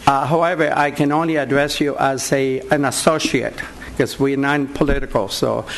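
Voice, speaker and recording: Noticeable background noise sits behind a man speaking at a moderate pace. His pitch is fairly high and his intonation monotone and flat. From Puerto Rico. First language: Spanish. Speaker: war veteran. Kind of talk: public comment. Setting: board meeting.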